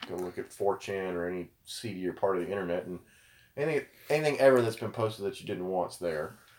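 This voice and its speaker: A very fast pace and ordinary pitch variation against noticeable background noise. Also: man. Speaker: podcast co-host. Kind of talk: casual chat about gaming and current events.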